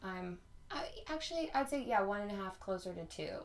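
A woman with an ordinary speaking voice and an American accent talks at a fairly quick pace, her medium pitch carrying lively intonation. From North Carolina. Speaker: podcast host. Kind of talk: casual chat.

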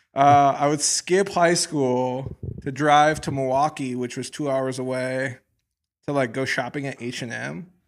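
Fairly slow, fairly even speech from a man, medium in pitch, in an ordinary speaking voice. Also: very clean recording, silent background. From Wisconsin, US Midwest. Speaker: fashion brand founder. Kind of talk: casual chat.

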